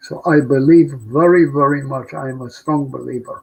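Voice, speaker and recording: Somewhat breathy and fairly even in intonation, a man speaks at a fairly high pitch. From Poland, Warsaw. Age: 90s. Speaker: Holocaust survivor. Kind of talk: testimony.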